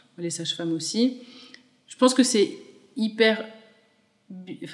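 A woman's fairly high-pitched voice. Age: 30s. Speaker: mother sharing breastfeeding story, small business owner. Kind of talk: testimony.

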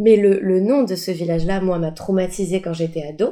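A woman speaks at a medium pitch in a dark, mellow tone. Her pace is moderate, with ordinary pitch variation. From Paris, France. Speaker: improv actor and coach. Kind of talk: interview. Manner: hesitant, many fillers.

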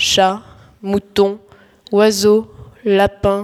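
A woman does a whiny, put-on character voice. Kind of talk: slangy teen comedy. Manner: whiny, exasperated.

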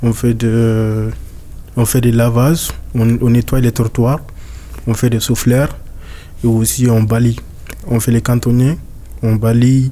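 Very slow, monotone speech from a man, flat in intonation, with long, frequent pauses, very even loudness, and noticeable background noise. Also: medium pitch for a man. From Mali. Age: 20s. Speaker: young migrant, street cleaner. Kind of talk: interview testimony. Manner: halting.

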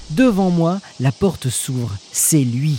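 A man speaks in a playful tone with very wide pitch swings. The sound is dry and close, with no echo. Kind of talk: literary audiobook reading. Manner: wry and tender, humorous first-person diary reading with playful irony.

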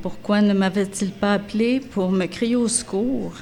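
Pitch varying in an ordinary way, a woman talks very slowly. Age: 60s. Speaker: narrator. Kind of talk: reading aloud.

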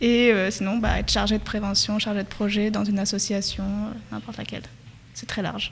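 Speaking fairly quickly, a woman keeps a medium pitch and a monotone, flat intonation. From France, Perche region. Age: 20s. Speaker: public health master's student. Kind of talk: casual interview.

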